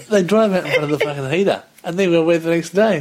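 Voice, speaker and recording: Against noticeable background noise, a man speaks at a fairly quick pace. His voice is high for a man, with lively intonation. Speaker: podcast co-host. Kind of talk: casual chat.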